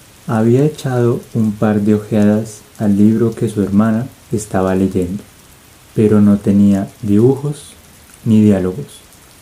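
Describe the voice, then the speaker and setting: The voice has a dark, mellow tone and fairly even intonation. It moves at a fairly slow pace. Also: man, fairly low pitch for a man. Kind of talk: audiobook-style ASMR reading. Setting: rain ambience in the background. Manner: soft, relaxing, sleep-inducing.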